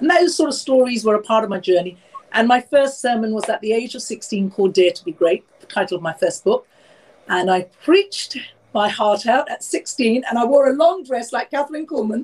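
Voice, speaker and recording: A London accent at a fairly quick pace, with very wide pitch swings. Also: woman, high pitch for a woman. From London, England. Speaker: author and speaker. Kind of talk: interview. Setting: video call.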